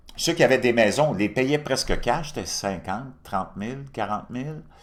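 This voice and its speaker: In a Quebec accent, a man talks at a fairly quick pace. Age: 60s. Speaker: political commentator. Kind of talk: opinion monologue. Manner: animated.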